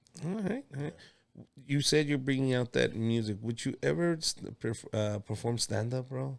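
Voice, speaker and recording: Here a man speaks with a Mexican accent. His pitch sits in the medium range. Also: ordinary pitch variation, moderate pace. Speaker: comedian and podcast host. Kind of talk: casual interview chat. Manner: animated.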